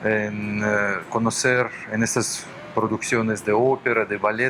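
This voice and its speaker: A man with a Russian accent speaks very slowly in a fairly low, monotone, flat voice, with noticeable background noise. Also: very even loudness. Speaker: orchestra musician and cultural center director. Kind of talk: TV interview. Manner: halting.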